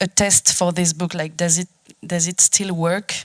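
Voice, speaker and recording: A woman speaks in a flat monotone. Her pitch sits fairly low. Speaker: photographer. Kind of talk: panel discussion.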